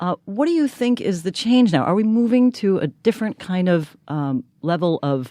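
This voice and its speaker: With a New York accent, a woman speaks at a moderate pace and medium pitch in a dark, mellow tone, her pitch swinging very widely. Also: dry, close sound with no echo. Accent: American, New York. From New York City. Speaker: podcast co-host, political consultant. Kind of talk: interview.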